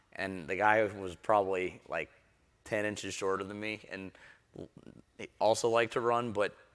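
Against a quiet background, a man with an American accent speaks at a moderate pace, his pitch fairly low and his intonation fairly even. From Houston area, Texas; Texas. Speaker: tech startup CEO; panelist. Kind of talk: panel discussion. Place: stage. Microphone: lapel.

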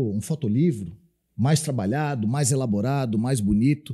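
Over a quiet background, a man with a dark, mellow tone and a somewhat breathy voice speaks at a moderate pace. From Florianópolis, southern Brazil; Santa Catarina, Brazil. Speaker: military police officer; podcast guest. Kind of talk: podcast interview. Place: studio. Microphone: studio mic.

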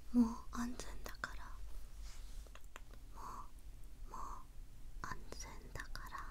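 A woman speaks very slowly. She is soft-spoken, with a soothing tone. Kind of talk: soft-spoken roleplay, addressing viewer. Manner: soft, soothing ASMR murmur.

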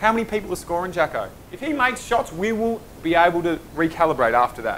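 Fast and high-pitched, a man talks with big pitch swings and a fairly bright tone.

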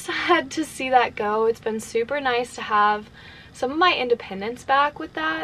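A woman speaks at a moderate pace in a high voice, with light noise in the background. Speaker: van life vlogger. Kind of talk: casual vlog chat. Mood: relaxed, reflective. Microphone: phone near.

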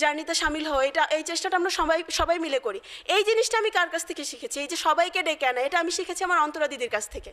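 An extremely high-pitched woman's voice has a bright, sharp tone. The background is quiet. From Bangladesh, Faridpur; Bangladesh. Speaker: civil servant, diplomat; speaker. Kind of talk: motivational speech. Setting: seminar hall with audience. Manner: formal. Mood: earnest, emotional. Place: hall. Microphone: podium.

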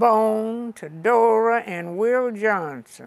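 This voice belongs to a woman. The rise and fall of her pitch is ordinary. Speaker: interviewee. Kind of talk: interview answer. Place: home room. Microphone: lapel.

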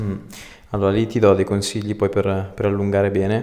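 Against a quiet background, a man speaks at a very fast pace in a fairly low pitch with monotone, flat intonation. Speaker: osteopath. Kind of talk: instructions to a patient during an osteopathic treatment. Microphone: lapel.

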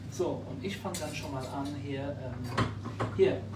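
A man's voice amid loud background noise. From Luxembourg. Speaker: member of European Parliament. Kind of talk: casual chat while cooking. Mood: relaxed, friendly. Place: kitchen. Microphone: phone near.

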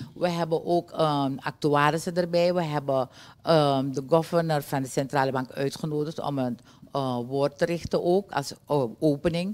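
A woman speaks at a very deep, low pitch with fairly even intonation. Her pace is moderate. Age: 60s. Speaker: trade union leader; guest. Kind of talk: TV interview. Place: studio. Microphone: studio mic.

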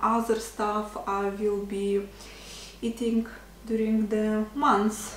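Against light background noise and audible room echo, a woman with a Russian accent speaks very slowly at a fairly high pitch. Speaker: vlogger; lifestyle vlogger. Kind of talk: casual vlog. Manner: hesitant, many fillers. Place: kitchen.

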